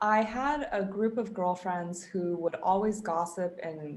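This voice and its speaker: A woman with an American accent talks at a fairly slow pace in an ordinary speaking voice, her medium pitch showing ordinary variation. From US West Coast (Silicon Valley, Bay Area). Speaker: performance coach. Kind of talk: casual interview.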